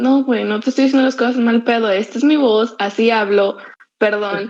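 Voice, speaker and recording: A woman talks with a fairly high pitch. Her intonation stays fairly even. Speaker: podcast co-host, university student. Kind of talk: casual chat. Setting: online voice call. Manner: loud, blunt-sounding.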